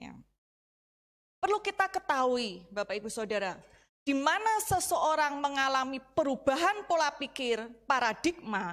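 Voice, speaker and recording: A woman talks at a fairly slow pace with very wide pitch swings. The background is quiet. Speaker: Bible teacher. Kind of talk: Bible study lesson. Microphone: handheld.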